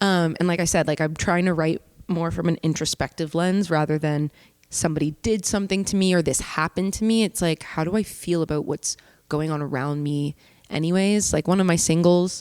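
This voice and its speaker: A woman's fairly low, normal speaking voice in a Canadian accent, fairly quick, with fairly even intonation and very even loudness, the sound dry and close with no echo. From Canada, Hamilton, Ontario. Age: 20s. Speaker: singer-songwriter. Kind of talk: casual interview chat. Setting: studio.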